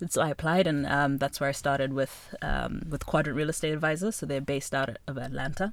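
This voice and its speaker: A woman with a very deep, low pitch and vocal fry, fairly quick with hardly any pauses, on a very clean recording with a silent background. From Zimbabwe, Harare. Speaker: real estate finance executive. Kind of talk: interview.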